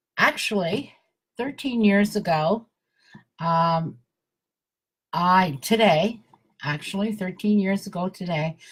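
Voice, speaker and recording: At a fairly slow pace, a woman with a medium, somewhat breathy voice and ordinary pitch variation speaks on a very clean recording with a silent background. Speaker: wellness network marketer hosting live video. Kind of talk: live stream talk to viewers. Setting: live video broadcast. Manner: halting, many fillers.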